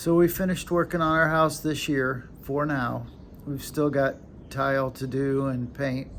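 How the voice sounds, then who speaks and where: This man talks with an American accent and fairly even intonation. His pace is fairly slow. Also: fairly high pitch for a man. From United States. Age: 60s. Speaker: retired vlogger. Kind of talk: casual vlog. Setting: at home, handheld camera. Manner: halting.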